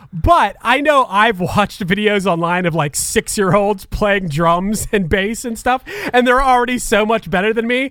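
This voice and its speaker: A man with a high pitch, lively intonation and hardly any pauses. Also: moderate pace. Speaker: podcast co-host. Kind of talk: casual chat.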